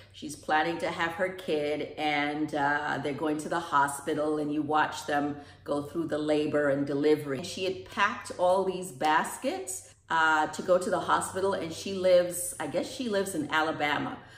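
A woman's very deep, low voice at a moderate pace, with ordinary pitch variation and audible room echo. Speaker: vlogger. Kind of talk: casual vlog chat. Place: kitchen. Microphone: phone near.

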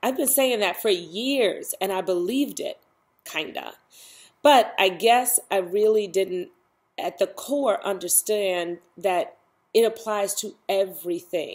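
A woman speaks at a very slow pace. Her pitch variation is ordinary. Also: quiet background. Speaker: self-help vlogger. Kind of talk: casual vlog chat. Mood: reflective, warm. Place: home room. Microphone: webcam.

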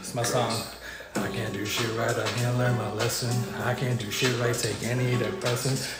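Music plays in the background as a man speaks. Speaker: streamer. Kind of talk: casual stream chat. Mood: relaxed, cheerful. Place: garage.

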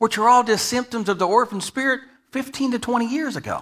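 Projected and raised, the voice has a bright, sharp tone. Its speed is moderate. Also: man. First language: English (speaking Spanish). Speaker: guest preacher. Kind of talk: sermon. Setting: church. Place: church.

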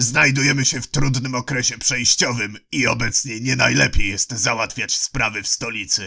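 Putting on a character voice, a man at a medium pitch speaks at a moderate pace with fairly even intonation and hardly any pauses. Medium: read story. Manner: smooth, sly, coolly ironic.

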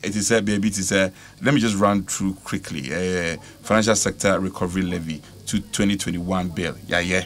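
A man talks at a moderate pace with a fairly low pitch. Light background noise is present. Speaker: guest politician. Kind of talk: interview answer. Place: studio. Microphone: studio mic.

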